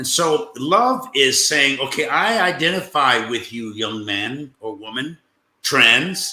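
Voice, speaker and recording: A man with an unremarkable speaking voice talks at a medium pitch. His intonation is lively. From United States. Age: 60s. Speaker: bishop, panel guest. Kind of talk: panel discussion.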